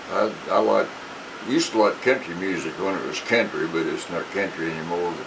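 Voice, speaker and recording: The moderate-paced speech carries audible room echo and noticeable background noise. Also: man. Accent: American. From Indiana. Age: 70s. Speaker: bluegrass musician. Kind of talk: interview.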